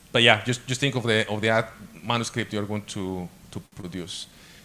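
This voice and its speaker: A man with a Spanish accent, a bright, sharp tone and fairly even intonation. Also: long, frequent pauses. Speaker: guest lecturer on academic publishing. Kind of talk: lecture. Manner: halting, frequent repetitions and fillers.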